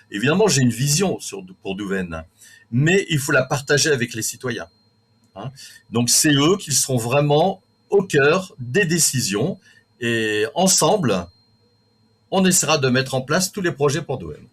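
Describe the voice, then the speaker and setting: A man with a fairly high, somewhat breathy voice speaks at a fairly slow pace, his pitch swinging very widely between long, frequent pauses. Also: big swings in loudness. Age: 60s. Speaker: local election candidate. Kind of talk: interview. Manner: halting.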